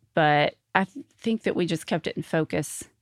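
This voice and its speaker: Someone with an Arkansas accent is heard in a very clean recording with a silent background and a dry, close sound with no echo. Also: woman. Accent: Southern US (Arkansas). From US South, Arkansas (North Little Rock). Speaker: gold star family member. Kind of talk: interview testimony.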